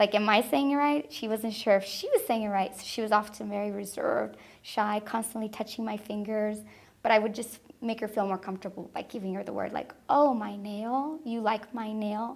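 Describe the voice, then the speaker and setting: A woman's fairly high voice with a Spanish accent, fairly even intonation, a fairly quick pace and big swings in loudness. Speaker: preschool teacher. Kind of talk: interview testimony; talking with children.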